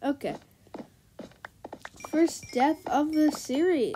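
A woman speaks very slowly with a high pitch and lively intonation. Noticeable background noise runs under her voice. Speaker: gaming youtuber. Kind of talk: gameplay commentary. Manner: animated.

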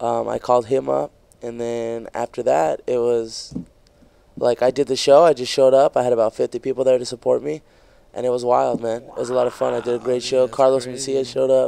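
A man's dark, mellow tone at a fairly quick pace, with fairly even intonation and a dry sound with no echo. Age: 20s. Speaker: stand-up comedian. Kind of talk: casual chat. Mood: excited, recounting a fun story. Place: studio. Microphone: studio mic.

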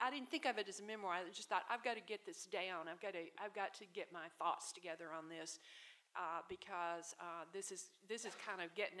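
A woman speaks at a fairly quick pace with a Southern US accent and a bright, sharp tone. Light background noise can be heard. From US South, Tupelo, Mississippi; Mississippi. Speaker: author and literary scholar; panelist. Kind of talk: panel discussion. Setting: stage with audience. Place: hall. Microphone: podium.

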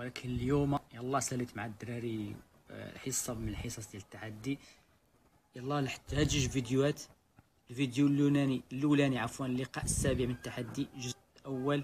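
A man's somewhat breathy voice holds a monotone, flat intonation. He keeps a moderate pace over light background noise. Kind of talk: casual vlog chat. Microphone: phone near.

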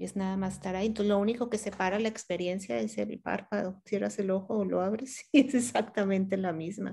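Speaking at a fairly quick pace with hardly any pauses, a woman with a Mexican accent has a dark, mellow tone, medium pitch and ordinary pitch variation over a quiet background. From León, Guanajuato, Mexico; Guanajuato, Mexico. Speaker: meditation teacher; meditation teacher being interviewed. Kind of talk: interview. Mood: calm, warm, reflective. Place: home room. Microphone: video call.

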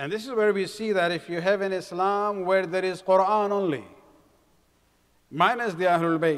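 A high-pitched male voice with ordinary pitch variation against a quiet background. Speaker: speaker. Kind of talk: sermon. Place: hall. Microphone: podium.

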